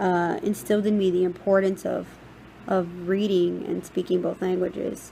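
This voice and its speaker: This woman has an American accent and a medium pitch. She talks at a moderate pace with fairly even intonation. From Texas, Rio Grande Valley. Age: 20s. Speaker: university student. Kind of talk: personal narrative presentation.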